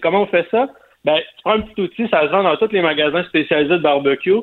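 A man speaks in a Quebec accent. His voice sits high in pitch. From Quebec, Montreal area. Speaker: barbecue columnist. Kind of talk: cooking tips on radio.

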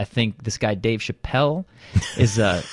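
In a very clean recording with a silent background and a dry, close sound with no echo, a man with an American accent speaks fairly slowly at medium pitch with ordinary pitch variation, an ordinary speaking voice. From Southern California suburbs. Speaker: comedian and parodist. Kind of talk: casual interview chat. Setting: studio.

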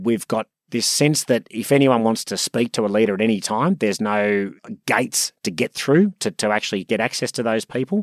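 A man with an Australian accent talks at a fairly quick pace with a medium pitch and ordinary pitch variation, in a dry, close sound with no echo and a very clean recording with a silent background. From Sydney, Australia. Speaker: property company executive. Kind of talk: interview.

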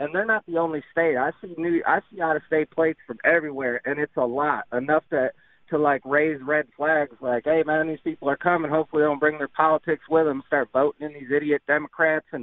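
A man with an American accent and an unremarkable speaking voice talks at a fairly quick pace in a fairly high pitch, with fairly even intonation and hardly any pauses. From New York. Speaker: radio caller. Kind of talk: call-in to talk radio. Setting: phone call.

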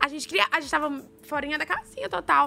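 A woman in a Minas Gerais accent uses a raised, projected voice at a high pitch and a fairly quick pace. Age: 20s. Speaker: reality show contestant. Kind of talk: casual chat.

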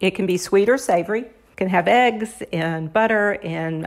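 Hers is an unremarkable speaking voice: a woman at a medium pitch with ordinary pitch variation. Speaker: cookbook author. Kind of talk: interview.

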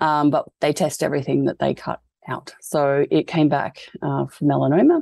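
The speaker has an Australian accent and a moderate pace. The sound is dry and close, with no echo. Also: woman. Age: 30s. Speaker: fashion designer and cancer patient. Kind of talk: interview.

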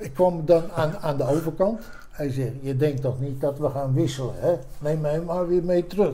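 A man talks at a moderate pace with a fairly high pitch and ordinary pitch variation. It is an ordinary speaking voice. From Netherlands, Haarlem (Noord-Holland). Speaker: retired army commando officer. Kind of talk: life-story interview.

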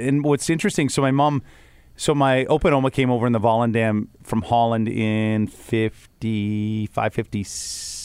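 This man has a medium pitch and lively intonation. His tone is playful. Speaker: podcast host. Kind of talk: casual chat. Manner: joking, playful.

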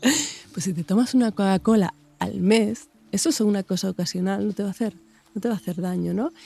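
Somewhat breathy, with a dark, mellow tone, a woman talks at a fairly quick pace and medium pitch, with ordinary pitch variation. The sound is dry and close, with no echo. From Extremadura, Spain (Mérida). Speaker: nutritionist. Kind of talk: casual chat.

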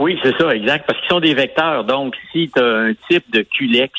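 The man talks at a moderate speed, his pitch varying in a typical way. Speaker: biochemist and newspaper columnist. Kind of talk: radio interview explaining science. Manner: halting, many repetitions.

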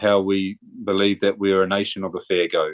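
A man with an Australian accent, fairly low pitch and a moderate pace. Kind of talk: interview.

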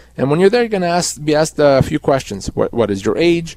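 Lively intonation marks this man's dark, mellow tone, recorded dry and close with no echo. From Canada. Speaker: employment lawyer. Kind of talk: legal advice on call-in radio. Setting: radio studio.

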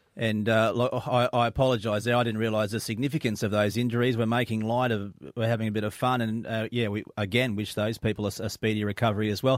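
A man with an Australian accent talks at a very fast pace, barely pausing. His medium-pitched voice stays monotone and flat. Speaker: radio host. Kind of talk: breakfast radio chat. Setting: radio studio.

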